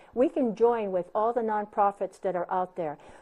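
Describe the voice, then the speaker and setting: A woman with a Hawaiian accent speaks at a moderate pace. Her tone is dark and mellow at a medium pitch. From Hawaii, Big Island. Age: 60s. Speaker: county council candidate. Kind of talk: interview.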